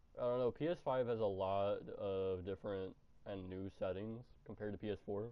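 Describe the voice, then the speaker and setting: A man talks at a moderate pace while noticeable background noise plays underneath. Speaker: gaming streamer. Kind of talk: live gameplay stream chat. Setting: live stream. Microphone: muffled cheap earbud mic.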